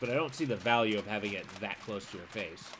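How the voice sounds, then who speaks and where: A man speaks at a very fast pace with medium pitch. There is noticeable background noise. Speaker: game streamer. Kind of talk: gameplay commentary. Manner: shouting at times; casual, conversational.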